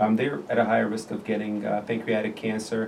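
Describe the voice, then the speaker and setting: Background noise is noticeable as a man speaks. The room echo is audible too. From Jordan. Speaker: surgical oncologist. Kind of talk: interview, medical discussion. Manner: halting, many fillers.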